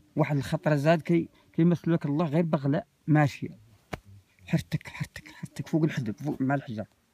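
A man's somewhat breathy voice, dark and mellow in tone, at a moderate pace with a dry sound and no echo. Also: ordinary pitch variation. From M'hamid, Zagora, Morocco. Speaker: desert nomad, former caravan traveller. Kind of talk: oral storytelling. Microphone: phone near.

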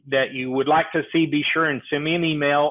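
At a moderate pace, a man speaks with a fairly high pitch.

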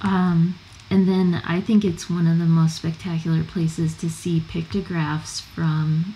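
Over noticeable background noise, a woman with an American accent speaks at a moderate pace and a fairly low pitch. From California. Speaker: travel guide author and former park ranger. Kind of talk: casual chat.

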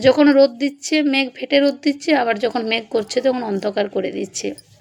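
A woman's high-pitched voice. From West Bengal, India (Purulia). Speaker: vlogger, housewife. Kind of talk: voice-over vlog narration.

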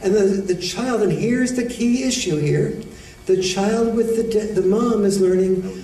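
A soft-spoken man with an American accent, moderate pace and fairly even intonation, heard with audible room echo. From United States. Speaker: educator, author and men's issues speaker. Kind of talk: lecture to an audience. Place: hall. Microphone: podium.

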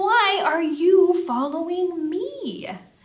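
A woman's shaky, extremely high put-on character voice with audible echo. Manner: crying out, trembling.

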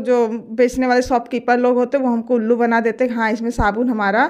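Over a quiet background, a woman speaks at a high pitch and a moderate pace. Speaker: home tips creator. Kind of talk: tutorial.

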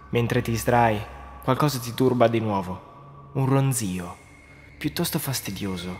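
A man speaks at a fairly slow pace with long, frequent pauses while music plays in the background. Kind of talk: scripted creepypasta narration in second person, told as a ghost story. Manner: hushed, suspenseful, dramatic and tense, building dread.

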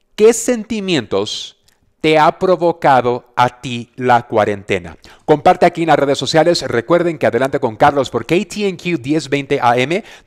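Against a quiet background, a man speaks at a fairly slow pace in an animated tone with very wide pitch swings. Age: 40s. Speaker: radio host and business coach; radio host, business coach. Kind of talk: casual motivational talk. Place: home room. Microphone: headset.

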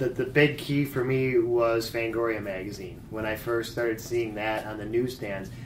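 A man with a medium pitch speaks at a moderate pace, with hardly any pauses and fairly even intonation. Room echo is audible and background noise is noticeable. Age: 40s. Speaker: fanzine creator. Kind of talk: interview. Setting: horror convention.

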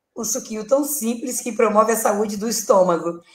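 Moderate pace and ordinary pitch variation, with audible room echo and music in the background. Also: woman. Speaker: guest. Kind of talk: interview answer. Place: home room. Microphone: video call.

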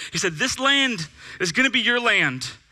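This man's raised, projected voice has a bright, sharp tone. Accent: American. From California, Bakersfield; California. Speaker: pastor. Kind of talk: sermon. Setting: church with audience. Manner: animated. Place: church. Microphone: headset.

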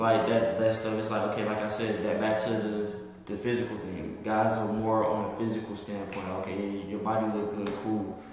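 Clear music plays in the background, and the room echo is strong. The pace is moderate. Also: man. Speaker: guest. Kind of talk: interview answer. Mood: relaxed, thoughtful. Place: home room.

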